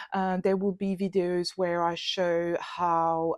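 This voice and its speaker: A woman speaks fairly slowly in a French accent, her pitch fairly low and her intonation flat and monotone. The sound is dry and close, with no echo. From France. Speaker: illustrator and YouTuber. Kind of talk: channel introduction talk. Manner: hesitant, many fillers.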